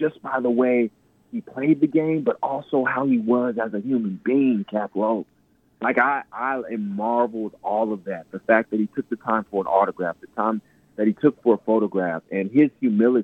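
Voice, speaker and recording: Here a man with a normal speaking voice talks at a moderate pace, his medium pitch showing ordinary variation. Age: 30s. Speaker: inspirational speaker and author. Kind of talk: radio interview. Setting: phone or remote line.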